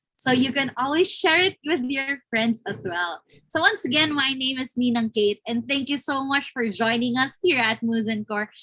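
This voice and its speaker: A woman with a Filipino accent speaks at a moderate pace in a high voice. Her tone is bright and sharp, with ordinary pitch variation. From Philippines. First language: Tagalog. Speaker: webinar host. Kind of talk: live interview. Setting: online live stream.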